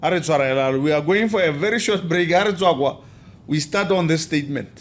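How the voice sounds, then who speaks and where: Speaking very fast with a Botswana accent, a man uses a high voice with ordinary pitch variation. His loudness stays very even. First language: Setswana. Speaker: podcast host. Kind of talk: casual interview chat.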